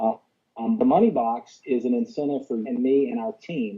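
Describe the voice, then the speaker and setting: Music plays in the background as a man with a Southern US accent speaks with very wide pitch swings. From US South. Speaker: business opportunity presenter. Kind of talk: sales pitch. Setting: conference call. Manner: fast; animated.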